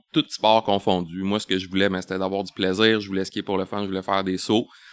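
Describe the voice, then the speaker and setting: A man's voice in a very clean recording against a silent background. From Quebec, Laval. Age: 40s. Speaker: bicycle industry sales representative. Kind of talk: podcast interview. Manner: hesitant, many fillers and repetitions.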